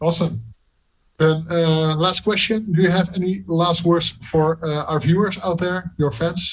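Speaking in a Dutch accent, a man uses a high pitch, fairly even intonation and a fairly slow pace. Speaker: music interviewer. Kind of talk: interview.

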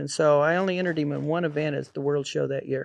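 A man with a rural western US accent talks at a fairly quick pace in a fairly high pitch, his intonation fairly even and the sound dry and close with no echo. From Colorado, US. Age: 60s. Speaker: rodeo cowboy. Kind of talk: casual interview.

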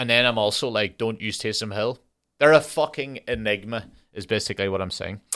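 A man's bright, sharp tone, with ordinary pitch variation, is heard on a very clean recording over a silent background. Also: medium pitch for a man, fairly quick pace. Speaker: podcast host. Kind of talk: solo rant. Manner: ranting, profane, animated.

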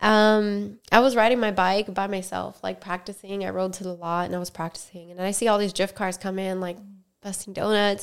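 A woman with an American accent at a fairly quick pace, monotone and flat, on a very clean recording with a silent background. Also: medium pitch for a woman. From Miami, Florida. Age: 20s. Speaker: podcast host, stunt rider and dancer. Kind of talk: casual chat. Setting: recorded on camera.

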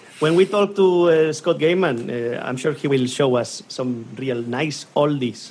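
Over noticeable background noise, a man with a Spanish accent speaks at a fairly slow pace with hardly any pauses. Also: fairly high pitch for a man, ordinary pitch variation. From Spain. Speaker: hurdy-gurdy teacher and co-host. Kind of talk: casual chat.

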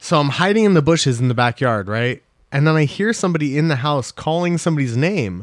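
This man has a normal speaking voice, fairly high in pitch. His intonation is lively and his pace fairly quick. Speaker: podcast host. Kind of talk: casual banter podcast. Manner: casual, chatty.

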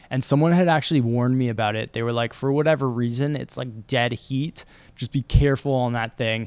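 A man with a Canadian accent and a plain, everyday voice talks at a fairly quick pace, medium in pitch with fairly even intonation. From London, England until 8, then Toronto, Canada. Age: 30s. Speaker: endurance athlete. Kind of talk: casual chat. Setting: studio.

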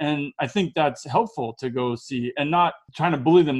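Against a quiet background, a man with a normal speaking voice and an American accent talks in a fairly high pitch with ordinary pitch variation. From United States. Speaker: podcast host. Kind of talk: interview.

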